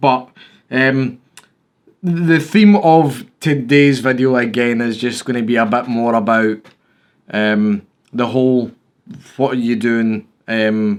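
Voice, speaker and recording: Someone with a Scottish accent speaks at a very slow pace with long, frequent pauses and ordinary pitch variation. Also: man, medium pitch for a man. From Scotland. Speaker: YouTuber, photography hobbyist. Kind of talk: casual vlog talk. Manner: hesitant, many fillers.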